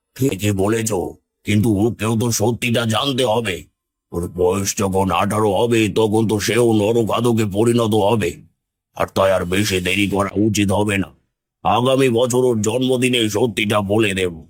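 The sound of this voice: Putting on a cartoonish character voice, a man uses a menacing tone at a medium pitch, with fairly even intonation and very even loudness. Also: moderate pace.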